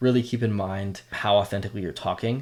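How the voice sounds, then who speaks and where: This is a man speaking. His voice sits fairly low. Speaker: content creator coach. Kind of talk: tutorial. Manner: fast; casual. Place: home room. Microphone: studio mic.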